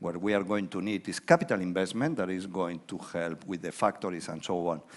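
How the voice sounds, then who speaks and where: The speaker is a man. He has a Spanish accent. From Spain. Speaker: economist. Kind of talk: conference keynote talk. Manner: informal, conversational with hesitations.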